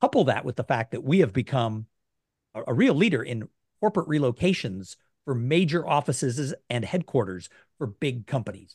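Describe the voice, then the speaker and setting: A man with an American accent talks at a moderate pace, his medium pitch swinging very widely. His voice is somewhat breathy against a quiet background. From California. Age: 50s. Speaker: tech industry association leader and podcast host. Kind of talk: casual panel discussion.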